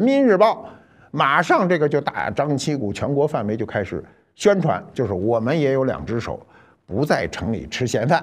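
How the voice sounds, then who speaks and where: Over a quiet background, a man with a fairly high pitch and vocal fry swings very widely in pitch. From Beijing. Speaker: cultural commentator. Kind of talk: storytelling monologue. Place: studio.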